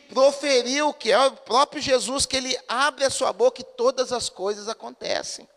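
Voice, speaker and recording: A man speaks at a fairly slow pace with an extremely high pitch. The sound is dry and close with no echo, though noticeable background noise is present. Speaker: pastor. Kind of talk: sermon. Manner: conversational, asks the congregation questions.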